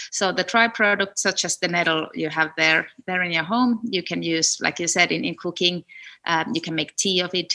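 On a very clean recording with a silent background, a woman with a bright, sharp tone and fairly low pitch speaks at a moderate pace with ordinary pitch variation. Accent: Finnish. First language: Finnish. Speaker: food entrepreneur, food scientist. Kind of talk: interview. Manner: halting, repeats words.

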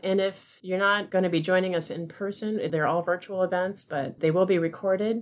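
A woman with an ordinary speaking voice talks at a moderate pace, her fairly low pitch varying in an ordinary way. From US, moved around (army family). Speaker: librarian. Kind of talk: casual chat.

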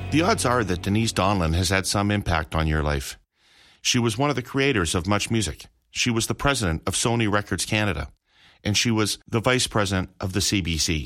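A man with a plain, everyday voice speaks at a fairly quick pace, fairly low in pitch with lively intonation. His loudness stays very even in a very clean recording with a silent background. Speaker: podcast host. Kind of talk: casual interview.

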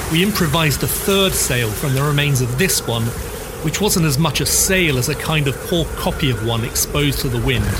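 A man speaks at a fairly quick pace in a fairly high voice, his loudness very even. Noticeable background noise runs under him. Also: ordinary pitch variation. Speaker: podcast host. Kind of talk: history documentary narration. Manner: measured, authoritative storytelling pace; clear, formal, explanatory delivery.

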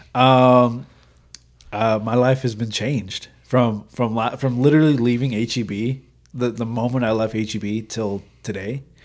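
Using fairly even intonation, a man with an American accent speaks at a moderate pace and a medium pitch. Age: 20s. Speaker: roofing salesman. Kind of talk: casual interview. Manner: hesitant, many fillers.

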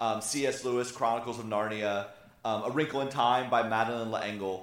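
The voice is loud, with a bright, sharp tone, and moves at a moderate pace. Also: man. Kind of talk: sermon. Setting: church with audience and microphone.

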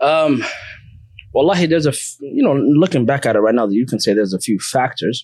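Speaking at a fairly quick pace, a man uses lively intonation while keeping his loudness very even. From South Seattle, US (came from East Africa at about eight). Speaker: Islamic teacher who studied abroad. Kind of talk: interview about his life story.

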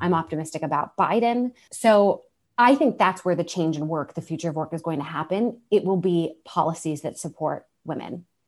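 A woman talks in a plain, everyday voice at a fairly low pitch. Her pitch variation is ordinary, her pace moderate, and the background quiet. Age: 30s. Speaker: entrepreneur, co-founder of a women's career community. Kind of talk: interview.

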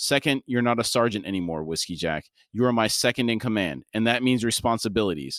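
Quiet surroundings behind a natural reading voice

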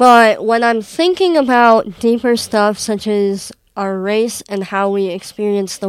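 At a fairly slow pace, a woman with an American accent speaks at a fairly high pitch with ordinary pitch variation. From Wisconsin, US Midwest. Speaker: adopted daughter guest. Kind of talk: casual interview conversation.

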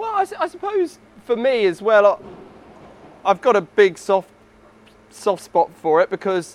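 Fairly even intonation marks this man's speech. He has a New Zealand accent, recorded with a dry, close sound and no echo. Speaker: e-commerce company CEO. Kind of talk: casual interview. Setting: warehouse premises.

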